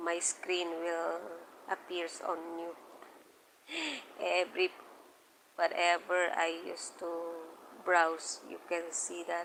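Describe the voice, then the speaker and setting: Very slowly, with long, frequent pauses, a woman speaks at a fairly low pitch in a flat monotone. Her loudness swings widely. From Philippines. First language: Filipino (Tagalog). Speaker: live streamer. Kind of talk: casual live stream chat.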